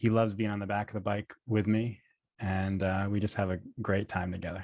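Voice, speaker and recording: A man with an American accent speaks at a fairly low pitch with fairly even intonation. The recording is very clean and dry, close with no echo and a silent background. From New York (Poughkeepsie). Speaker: speech-language pathologist. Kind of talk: interview podcast.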